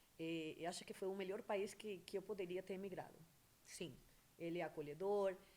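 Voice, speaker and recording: This woman speaks at a medium pitch, with fairly even intonation and a Venezuelan accent. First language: Spanish (speaking Portuguese). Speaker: entrepreneur, beautician. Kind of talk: interview. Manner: hesitant, with fillers.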